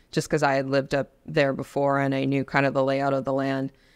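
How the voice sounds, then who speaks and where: A woman's pitch is very deep and low, heard with a quiet background. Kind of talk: interview answer. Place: studio. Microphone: studio mic.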